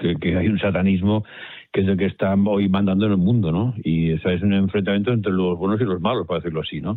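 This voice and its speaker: The man talks very fast. His intonation is fairly even. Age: 70s. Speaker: professor. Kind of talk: debate. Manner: halting.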